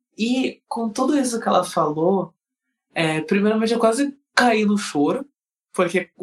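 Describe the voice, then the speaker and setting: Speaking with a southern Brazilian accent, this man uses a high pitch and lively intonation. His pace is fairly slow. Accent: gaúcho Brazilian Portuguese. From southern Brazil, Rio Grande do Sul (Alvorada, Porto Alegre area). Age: 20s. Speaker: dancer. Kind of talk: casual interview chat. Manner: animated.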